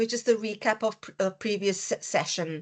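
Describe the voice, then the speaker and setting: A woman with a South African accent, fairly high in pitch, ordinary pitch variation, quiet background. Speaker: dietitian educator. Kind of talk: online lecture. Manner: hesitant, many fillers.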